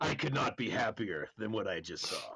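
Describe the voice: A man puts on a character voice with a fairly low pitch, a bright, sharp tone, and a husky, rough edge with vocal fry. He speaks at a moderate pace with lively intonation.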